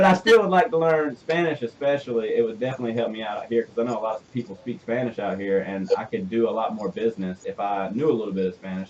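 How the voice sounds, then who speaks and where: In a Southern US accent, a man at medium pitch talks very fast with lively intonation over noticeable background noise. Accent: Southern US twang. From US South. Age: 20s. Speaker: radio show host and business owner. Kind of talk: radio interview. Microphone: connection trouble at start of show.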